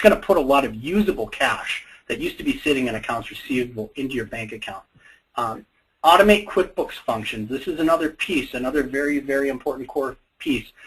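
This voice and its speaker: A man with an American accent speaks at a very fast pace. His pitch is fairly high and his intonation lively. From US Upper Midwest, Fargo, North Dakota. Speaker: software company co-owner presenting. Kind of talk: webinar presentation. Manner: casual, many fillers and repetitions.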